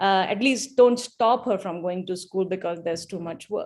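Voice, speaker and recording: A woman speaks with a Malayali accent. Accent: Malayalam. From India. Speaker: event speaker, donor. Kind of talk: speech.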